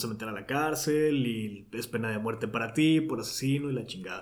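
A man with a medium-pitched voice talks at a moderate pace with fairly even intonation. There's audible echo in the room. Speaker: podcast host. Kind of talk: casual chat. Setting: home recording studio.

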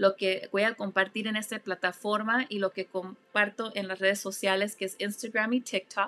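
At a moderate pace, a woman speaks in a monotone, flat intonation with a bright, sharp tone. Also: medium pitch for a woman, dry, close sound with no echo. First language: English (speaking Spanish). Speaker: life coach and podcast host. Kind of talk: motivational monologue. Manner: warm; halting.

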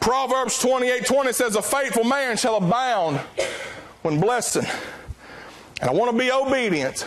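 Over noticeable background noise, a man with an American accent and an extremely high pitch talks at a fairly slow pace, keeping his loudness very even, using ordinary pitch variation, and leaving long, frequent pauses. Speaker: preacher. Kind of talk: sermon.

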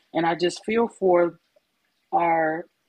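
Here is a woman with an unremarkable speaking voice and fairly low pitch. Her pitch variation is ordinary. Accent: American. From Chicago. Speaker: podcast co-host. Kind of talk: casual chat.

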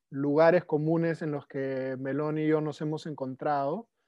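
A man is speaking here. His delivery is fairly slow. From Peru, Lima. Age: 30s. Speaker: permaculture practitioner. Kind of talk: casual interview chat. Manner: halting, frequent repetitions.

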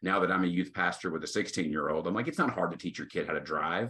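A man talks with a Texan accent in a very deep, low pitch. His bright, sharp tone carries ordinary pitch variation. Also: quiet background. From Texas, Tyler. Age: 40s. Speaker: associate pastor. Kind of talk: casual interview. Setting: video call.

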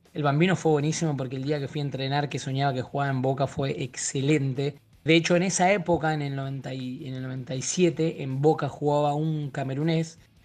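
In an ordinary speaking voice, the speaker keeps a moderate pace with fairly even intonation and hardly any pauses. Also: man, fairly high pitch for a man. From Argentina. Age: 30s. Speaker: actor. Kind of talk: casual interview.

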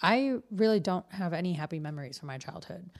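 An unremarkable speaking voice from a woman, fairly low in pitch, with an American accent and a moderate pace. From Detroit, US Midwest. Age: 30s. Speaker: podcast co-host. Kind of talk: casual chat. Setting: studio.

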